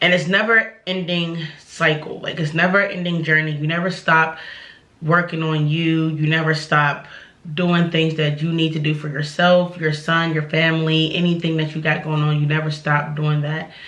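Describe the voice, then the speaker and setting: Audible room echo surrounds a woman whose very deep, low pitch and monotone, flat intonation hold a moderate pace. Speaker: vlogger. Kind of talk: casual vent to camera. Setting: at home. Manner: casual, candid.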